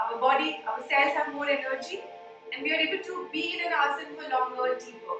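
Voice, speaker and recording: Over music in the background, a woman speaks fairly quickly in a raised, projected voice that is high in pitch with lively intonation. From India. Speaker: yoga teacher. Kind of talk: yoga breathing instruction.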